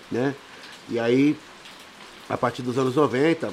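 A male speaker talks while noticeable background noise runs underneath. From São Paulo, Capão Redondo. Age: 40s. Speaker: samba and pagode singer. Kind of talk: casual chat.

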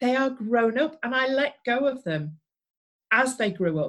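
A woman with an English accent speaks in a fairly high voice with lively intonation. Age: 50s. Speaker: former nurse. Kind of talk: interview.

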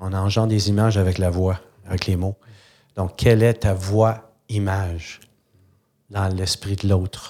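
In a very clean recording with a silent background, a man with a fairly low, dark, mellow voice speaks fairly slowly and monotonously, leaving long, frequent pauses. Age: 60s. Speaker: sales and communication consultant. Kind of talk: interview.

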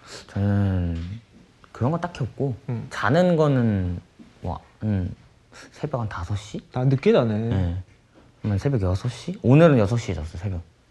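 Very slowly and with long, frequent pauses, a man speaks in a fairly low, dark and mellow voice. It sounds somewhat breathy, with very wide pitch swings. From South Korea, Pyeongtaek (Songtan). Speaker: R&B singer-songwriter. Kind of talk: casual chat.

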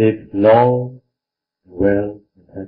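A man talks at a very slow pace. His medium-pitched voice has monotone, flat intonation. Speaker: meditation teacher monk. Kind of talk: dharma talk with interpreter.

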